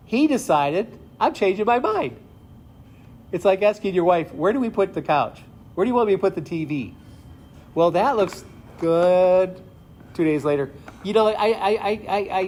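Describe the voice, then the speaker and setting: The intonation is lively. The pace is moderate. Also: man. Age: 60s. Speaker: retired pastor. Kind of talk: sermon. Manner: conversational.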